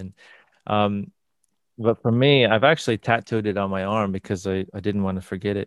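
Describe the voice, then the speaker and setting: With a Midwestern accent, a man speaks at a fairly low pitch. His pace is moderate and his intonation fairly even. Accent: American Midwest. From US Midwest, northern Indiana. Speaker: sound healing practitioner. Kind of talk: interview. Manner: halting.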